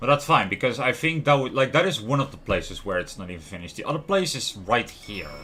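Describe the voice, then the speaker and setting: Speaking at a fairly quick pace with a Dutch accent, the man keeps a medium pitch but makes very wide pitch swings. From Netherlands. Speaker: gaming streamer. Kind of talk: live gameplay commentary.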